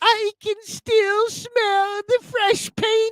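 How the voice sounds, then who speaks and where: This female-sounding voice is a put-on character voice at an extremely high pitch for a woman. Its intonation is monotone and flat. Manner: imitating, doing an impression.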